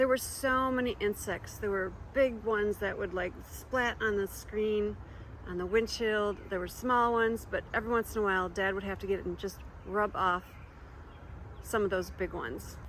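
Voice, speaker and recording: With fairly even intonation, an unremarkable speaking voice moves at a middling speed. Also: woman, medium pitch for a woman. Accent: American. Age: 60s. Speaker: homeowner and native plant gardener. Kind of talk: documentary interview.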